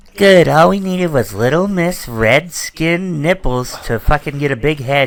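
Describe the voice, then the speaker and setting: A man's put-on character voice, fairly high in pitch, with lively intonation at a moderate pace. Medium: actual play. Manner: cocky, teasing.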